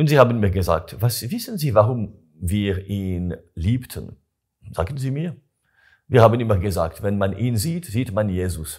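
Speaking with a French accent, a man talks fairly slowly at a fairly low pitch with lively intonation. His voice is somewhat breathy, and the background is quiet. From Switzerland, Gruyère, canton of Fribourg (French-speaking); Fribourg, Switzerland. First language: French (speaking German). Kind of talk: interview. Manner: halting. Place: home room. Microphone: lapel.

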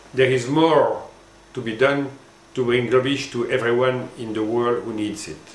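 Audible room echo surrounds this voice, which speaks with a French accent at a fairly slow pace. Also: man. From France. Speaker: former marketing executive, language educator. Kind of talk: scripted presentation. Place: office.

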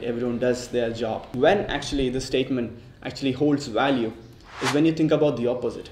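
A man talks very fast with fairly even intonation, and audible room echo surrounds his voice. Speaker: medical intern vlogger. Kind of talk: casual vlog chat. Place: home room.

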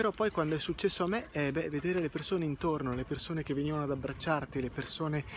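A man speaks, and background noise can be clearly noticed. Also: dry sound with no echo. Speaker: personal vlogger. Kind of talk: reflective walking vlog monologue. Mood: calm, reflective, personal. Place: street. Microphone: earbuds.

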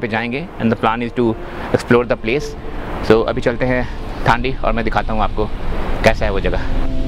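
Over music in the background, a man talks at a moderate pace with fairly even intonation in a dry sound with no echo. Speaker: travel vlogger. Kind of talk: casual vlog chat. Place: open country. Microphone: phone near.

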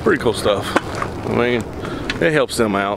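Loud background noise sits under a man's voice, which has a dry sound with no echo. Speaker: fishing vlogger. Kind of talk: casual vlog chat. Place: car. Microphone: phone near.

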